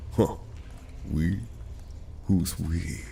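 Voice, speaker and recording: A man puts on a character voice with a very deep, low pitch. Clear background noise runs underneath. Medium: audio drama. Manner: sneering, sinister.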